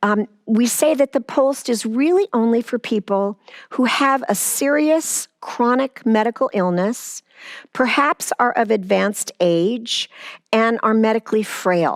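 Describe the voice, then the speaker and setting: A woman with a normal speaking voice talks at a fairly slow pace in a fairly high pitch, with lively intonation, very even loudness and a dry, close sound with no echo. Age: 60s. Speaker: palliative care outreach director. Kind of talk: interview.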